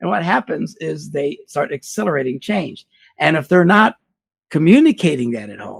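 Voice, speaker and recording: With vocal fry and a fairly high pitch, a man talks at a moderate pace in an animated tone with lively intonation and big swings in loudness, the sound dry and close with no echo. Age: 60s. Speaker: pastor and marriage seminar speaker. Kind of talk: interview.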